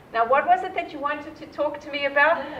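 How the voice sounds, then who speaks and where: Animated in tone, a woman with a South African accent speaks at a fairly quick pace against noticeable background noise. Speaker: nonprofit leader. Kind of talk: keynote talk.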